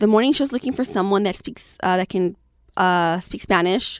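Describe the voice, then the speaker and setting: A woman with a plain, everyday voice, at a moderate pace and with ordinary pitch variation, in a dry, close sound with no echo and a very clean recording over a silent background. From Southeast Los Angeles. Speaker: radio producer and entrepreneur. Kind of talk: casual interview conversation.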